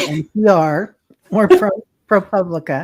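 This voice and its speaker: With a Midwestern accent, a woman talks using ordinary pitch variation. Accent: Midwestern twang. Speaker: intuitive spiritual guide. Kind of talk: casual chat. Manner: hesitant, many fillers.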